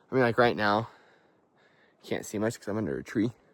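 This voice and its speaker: A man speaks with vocal fry. The sound is dry and close, with no echo. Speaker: vlogger. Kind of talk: casual hiking vlog. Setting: outdoors on a hiking trail. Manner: casual, filler-heavy.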